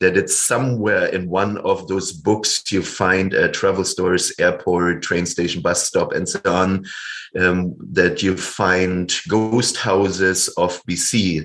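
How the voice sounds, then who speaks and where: With a German accent, a man speaks at a very slow pace. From Germany. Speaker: storyteller, kung fu coach, author. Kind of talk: interview answer.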